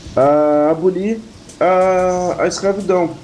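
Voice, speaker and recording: This man's voice is high in pitch, with ordinary pitch variation. There is noticeable background noise. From Pelotas, Rio Grande do Sul, Brazil. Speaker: rapper. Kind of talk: interview.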